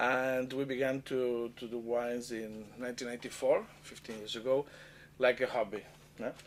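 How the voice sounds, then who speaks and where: In a flat monotone, a man speaks at a medium pitch and a moderate pace. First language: Catalan or Spanish. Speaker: winemaker. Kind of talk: interview. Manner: halting.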